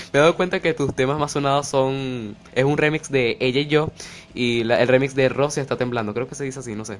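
A man with a Venezuelan accent, medium pitch, fairly even intonation and a fairly quick pace. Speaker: podcast host. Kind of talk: casual chat interview.

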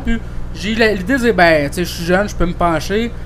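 A man talks at a fairly quick pace amid noticeable background noise and audible room echo. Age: 20s. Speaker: podcast host. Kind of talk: casual chat.

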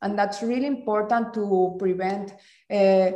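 Against audible room echo, a woman with a Spanish accent speaks at a medium pitch in a dark, mellow tone. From Mexico. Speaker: design master's student, former design teacher. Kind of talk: casual interview.

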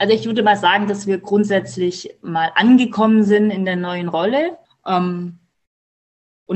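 A woman's normal speaking voice at a medium pitch and moderate pace, with ordinary pitch variation. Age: 30s. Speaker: mother of twins, coaching client. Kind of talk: casual interview.

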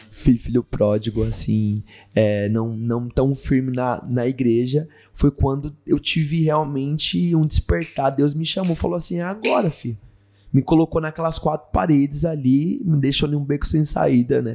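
This man has a fairly high pitch and a dark, mellow tone, talking at a fairly slow pace with ordinary pitch variation. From Brazil, São Paulo (ABC Paulista). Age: 20s. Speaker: actor and missionary. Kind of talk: casual interview.

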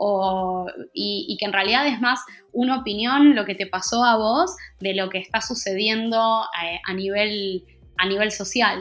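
Over music in the background, a woman talks in a fairly high voice with ordinary pitch variation. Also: fairly slow pace. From Argentina. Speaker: NGO communications coordinator. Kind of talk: interview.

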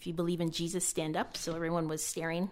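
With a Canadian accent, a woman speaks in an ordinary speaking voice, fairly low in pitch and at a fairly quick pace. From Canada. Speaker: former Olympic athlete. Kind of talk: casual chat.

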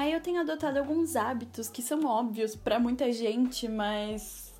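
A plain, everyday voice speaks at a moderate pace. Its pitch rises and falls in an ordinary way. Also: woman. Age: 20s. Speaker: journalism student and podcaster. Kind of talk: personal monologue podcast. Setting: home alone in apartment. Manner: casual.

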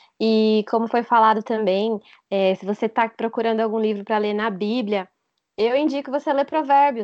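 A woman speaks with an unremarkable speaking voice at a fairly high pitch. Her pace is moderate and her intonation fairly even. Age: 30s. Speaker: logistics worker and English teacher, church youth member. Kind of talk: casual chat about faith.

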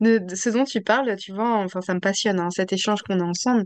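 A woman speaks in a plain, everyday voice with medium pitch and ordinary pitch variation. The sound is dry and close with no echo against a quiet background. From Paris region, France. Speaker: podcast host. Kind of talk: interview conversation.

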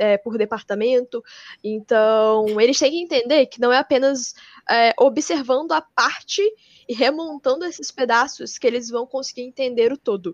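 Pitched high, a woman talks at a moderate pace with ordinary pitch variation and big swings in loudness. The sound is dry and close with no echo, over a quiet background. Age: 20s. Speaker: engineer and junior enterprise network president. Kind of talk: podcast interview.

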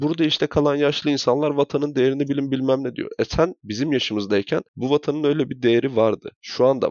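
At a fairly quick pace, a man of medium pitch speaks in a normal speaking voice with ordinary pitch variation. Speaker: podcast co-host. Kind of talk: casual chat.

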